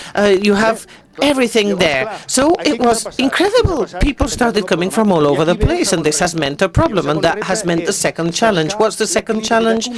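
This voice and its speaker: Speech at a fairly quick pace amid noticeable background noise. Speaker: municipal project speaker. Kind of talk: conference talk. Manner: halting.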